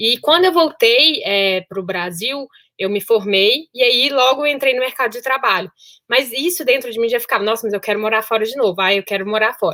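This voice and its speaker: Speaking with a Minas Gerais accent, a woman uses a fairly high pitch and a bright, sharp tone. Her intonation is lively and her pace fairly quick. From Brazil, Minas Gerais (Sete Lagoas). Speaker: solo traveler, engineer. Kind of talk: podcast interview.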